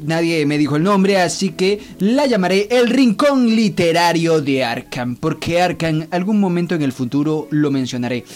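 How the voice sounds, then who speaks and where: Amid noticeable background noise, a man with a high voice talks at a fairly slow pace with lively intonation. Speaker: podcast host. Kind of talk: casual monologue with reading aloud.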